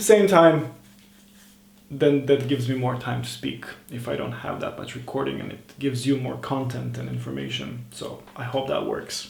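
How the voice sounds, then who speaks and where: Amid noticeable background noise and audible room echo, a man with a non-native accent speaks at a moderate pace. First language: not English. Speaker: self-improvement vlogger. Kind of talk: casual monologue vlog. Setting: at home over morning tea.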